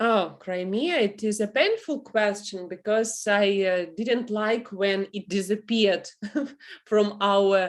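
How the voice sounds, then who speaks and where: A woman's medium-pitched voice at a very slow pace, in a very clean recording with a silent background. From Ukraine. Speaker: author and English teacher. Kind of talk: interview. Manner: halting, many fillers.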